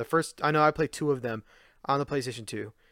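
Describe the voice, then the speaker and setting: A man talks at a fairly quick pace in an ordinary speaking voice, with fairly high pitch. The recording is very clean, with a silent background. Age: 20s. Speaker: video game collecting podcaster. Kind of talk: solo podcast monologue. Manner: casual, with frequent fillers.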